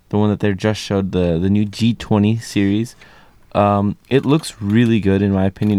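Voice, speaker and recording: An ordinary speaking voice, a man's, fairly low in pitch, moves at a moderate pace. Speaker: student newspaper columnist. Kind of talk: casual chat. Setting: studio.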